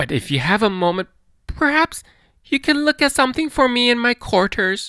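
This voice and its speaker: This put-on character voice sits at a fairly high pitch and moves at a moderate pace. The recording is very clean, with a silent background. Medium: read story. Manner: oily, falsely polite.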